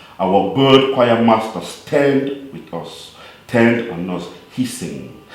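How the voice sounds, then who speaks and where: A man's medium-pitched voice, very slow yet lively in intonation, with audible room echo and noticeable background noise. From Cameroon. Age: 40s. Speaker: poet. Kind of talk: storytelling; poetry reading.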